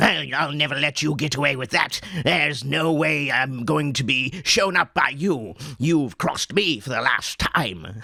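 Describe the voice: A man puts on a character voice that is nasal, guttural and raspy. His pitch sits fairly high, and he keeps a moderate pace.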